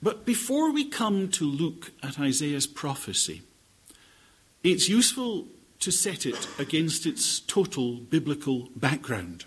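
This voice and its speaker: A man's fairly high voice with very wide pitch swings, a Scottish accent and a fairly slow pace. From Scotland. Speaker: bible teacher. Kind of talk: lecture. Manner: formal.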